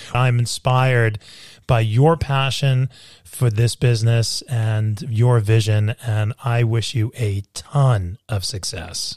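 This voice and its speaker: Very slowly and with fairly even intonation, a man in an American accent speaks in a somewhat breathy, medium-pitched voice, the sound dry and close with no echo. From New York. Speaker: podcast host. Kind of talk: interview conversation.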